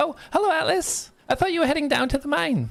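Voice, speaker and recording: Using a put-on character voice, a man speaks at an extremely high pitch and a fairly quick pace. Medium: actual play. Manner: warm, hesitant.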